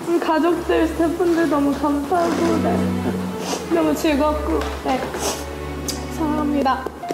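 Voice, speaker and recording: Loud music plays in the background as a woman speaks at a very slow pace. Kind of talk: emotional farewell speech. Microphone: lapel.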